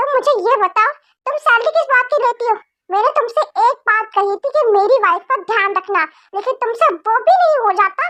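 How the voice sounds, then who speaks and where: Putting on a character voice, a woman speaks at a moderate pace in an extremely high pitch with lively intonation. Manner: shouting angrily.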